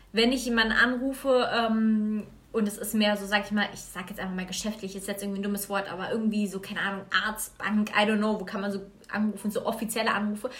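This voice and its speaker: Her delivery is monotone and flat, with a fairly high pitch. This woman rushes along at a very fast pace. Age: 20s. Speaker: guest. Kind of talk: casual chat. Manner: halting.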